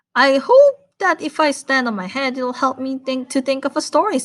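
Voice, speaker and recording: A woman adopts a put-on character voice, pitched high and delivered at a moderate pace. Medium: read story.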